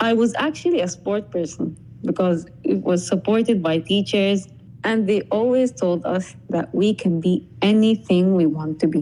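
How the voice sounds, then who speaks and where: A woman speaks with an Arabic accent in a dark, mellow tone. Her loudness stays very even. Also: medium pitch for a woman, lively intonation, moderate pace. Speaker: podcast guest. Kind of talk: scripted conversation.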